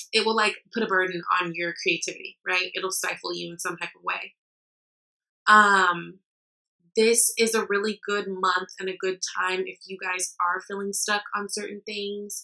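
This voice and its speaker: Her voice sits at a medium pitch with a bright, sharp tone, flat and monotone in intonation, yet her loudness swings widely. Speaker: tarot reader. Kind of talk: tarot reading to camera. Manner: fast; many filler ums.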